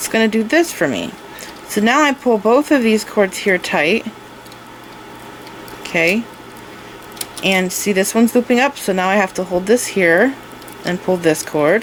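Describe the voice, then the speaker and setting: There is noticeable background noise as a woman speaks at a moderate pace with lively intonation. Her medium-pitched voice is broken by long, frequent pauses. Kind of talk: tutorial. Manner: casual, step-by-step explaining.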